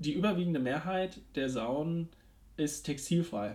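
On a very clean recording with a silent background, the voice moves at a very slow pace with lively intonation. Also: man. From Ruhr area, Germany. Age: 20s. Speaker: podcast co-host, university student. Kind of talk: casual chat.

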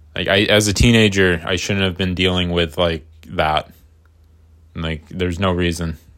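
This very clean recording has a silent background. A man talks at a moderate pace with a very deep, low pitch and ordinary variation. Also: long, frequent pauses. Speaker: podcaster and artist. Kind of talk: casual solo ramble. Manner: rambling, casual, self-deprecating.

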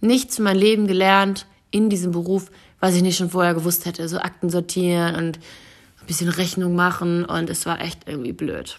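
This woman has a normal speaking voice with a fairly low pitch. She keeps a moderate pace and fairly even intonation. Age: 20s. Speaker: podcast host and influencer. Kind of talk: casual solo monologue. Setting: at home on her couch. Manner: chatty, with frequent fillers and laughs.

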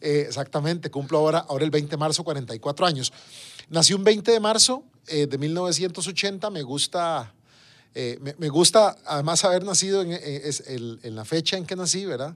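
A man speaks at a moderate pace and a fairly high pitch, with ordinary pitch variation. His loudness swings widely. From Costa Rica, San José (Desamparados). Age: 40s. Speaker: government minister. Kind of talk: interview. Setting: radio studio. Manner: halting, with many fillers and repetitions.

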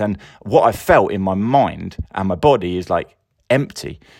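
This man has an English accent. His pitch sits fairly low. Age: 40s. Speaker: podcast host. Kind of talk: casual monologue. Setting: sound booth. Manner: rambling, sighing. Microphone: new sound booth, sounds echoey.

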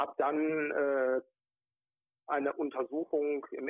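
The man's fairly high voice holds a monotone, flat intonation. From Ruhrgebiet area near Wuppertal, western Germany. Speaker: regional party chairman. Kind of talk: interview. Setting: phone call.

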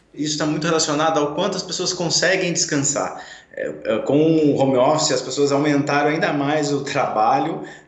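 In a room with audible echo and noticeable background noise, a man speaks at a moderate pace in a fairly high voice with fairly even intonation. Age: 40s. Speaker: physiotherapist. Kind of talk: radio interview. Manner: hesitant, many filler sounds.

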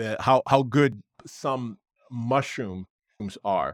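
A man talks in a normal speaking voice, medium in pitch, with fairly even intonation. The recording is very clean, with a silent background. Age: 60s. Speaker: wellness company owner. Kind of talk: interview.

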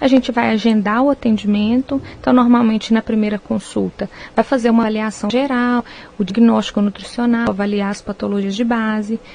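Her pitch is fairly high and somewhat breathy. The woman moves at a fairly quick pace with fairly even intonation. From Minas Gerais, Brazil (Viçosa). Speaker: nutritionist. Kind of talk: radio interview.

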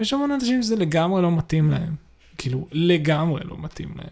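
A man speaks at a moderate pace in a high pitch with lively intonation. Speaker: podcast co-host. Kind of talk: casual chat.

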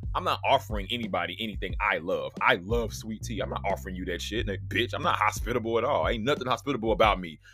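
Over music in the background, a man talks at a very fast pace in an animated tone. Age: 30s. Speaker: solo podcast host. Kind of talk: casual monologue.

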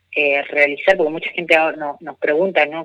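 The tone of this man's voice is bright and sharp. There is no echo, and the sound is dry and close. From Argentina, Corrientes province. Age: 20s. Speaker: environmental activist. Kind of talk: interview. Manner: halting, many fillers.

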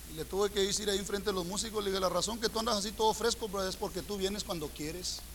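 A man's high-pitched voice at a very fast pace, with hardly any pauses and noticeable background noise. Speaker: preacher. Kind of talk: sermon. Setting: church. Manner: animated; colloquial, humorous, confrontational.

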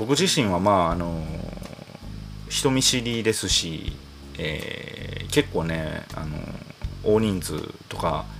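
A man with a very deep, low pitch talks at a very slow pace, leaving long, frequent pauses yet keeping lively intonation. Noticeable background noise and audible room echo surround his voice. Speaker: singer-songwriter podcast host. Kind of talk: solo casual monologue. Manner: calm, cool bar-master delivery.

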